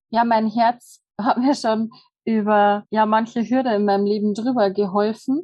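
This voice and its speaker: The speaker has a normal speaking voice and a fairly slow pace. Intonation is fairly even, and loudness stays very even. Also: woman, fairly high pitch for a woman. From Bavarian Forest, Germany. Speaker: hotel manager and human design practitioner. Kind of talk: casual interview.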